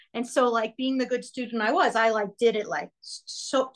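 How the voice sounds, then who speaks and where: At a moderate pace, a woman with a fairly high pitch talks in an unremarkable speaking voice. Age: 40s. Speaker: helping professional working with children, podcast guest. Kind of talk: personal testimony in a coaching session.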